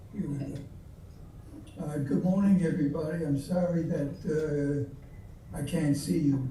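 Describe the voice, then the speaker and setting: In a room with audible echo and noticeable background noise, a man talks at a fairly slow pace and a fairly high pitch. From Belgium (Antwerp). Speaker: Holocaust survivor speaker. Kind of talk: testimony. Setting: video call. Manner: halting.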